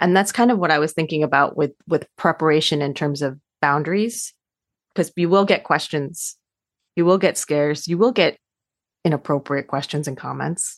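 A woman speaks with a very deep, low pitch. Her pace is moderate and her pitch variation ordinary. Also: quiet background. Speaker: adoption counselor and social worker. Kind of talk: interview, conversational.

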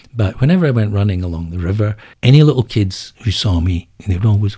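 A man speaks fairly quickly in an Edinburgh accent. His fairly low voice is somewhat breathy, with a dark, mellow tone. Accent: Scottish (Edinburgh). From Scotland (Edinburgh). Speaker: book editor. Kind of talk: interview. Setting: studio.

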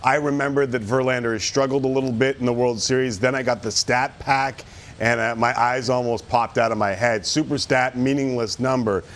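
A man with a Canadian accent speaks at a fairly quick pace and medium pitch with hardly any pauses. Noticeable background noise runs underneath. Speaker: sports talk show host. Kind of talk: casual sports talk show. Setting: studio. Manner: animated.

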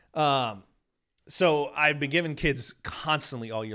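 A loud man's bright, sharp voice with an American accent, in a very clean recording over a silent background. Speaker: professional golfer. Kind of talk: casual chat. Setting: studio.

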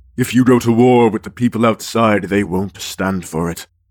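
This man's voice sits at a medium pitch with lively intonation. The recording is very clean, with a silent background. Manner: calm, authoritative, persuasive.

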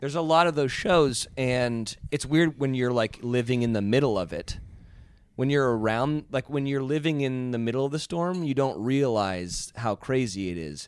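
Ordinary pitch variation and a moderate pace in a plain, everyday voice. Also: man, medium pitch for a man. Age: 30s. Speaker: reality TV personality. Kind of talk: casual chat. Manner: joking, playful.

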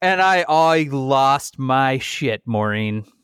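A man talks slowly at a medium pitch, with lively intonation. His tone is clear, smooth and fairly bright, with a dry, close sound and no echo.

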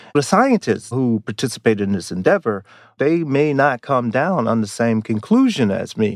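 Against a quiet background, a man talks at a moderate pace with an American accent. His medium-pitched voice is an unremarkable speaking voice. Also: lively intonation. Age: 50s. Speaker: psychology professor. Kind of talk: interview.

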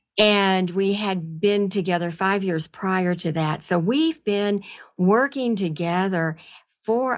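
The recording is very clean, with a silent background. A woman speaks fairly slowly at a medium pitch with ordinary pitch variation. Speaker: guest, psychotherapist and sound healer. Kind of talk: interview conversation.

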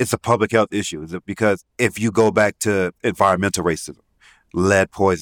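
The speech moves at a fairly quick pace with fairly even intonation, recorded very clean with a silent background and a dry, close sound with no echo. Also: man. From West Indies. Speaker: podcast co-host. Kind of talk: casual chat.

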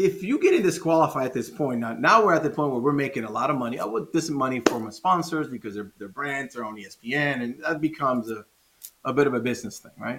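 A man talks very fast at a fairly high pitch, his intonation lively and his loudness swinging widely. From Dominican Republic. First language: Spanish. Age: 40s. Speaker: former pro inline skater. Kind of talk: casual interview. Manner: animated.

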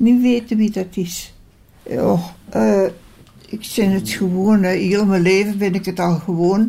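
A woman's somewhat breathy, dark, mellow tone at a medium pitch and a very slow pace. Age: 90s. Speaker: care home resident. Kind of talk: interview. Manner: halting.

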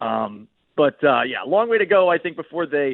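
A man in an American accent speaks at a moderate pace. He has an ordinary speaking voice and lively intonation. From Boston. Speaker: NFL reporter. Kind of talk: radio interview. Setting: remote call-in.

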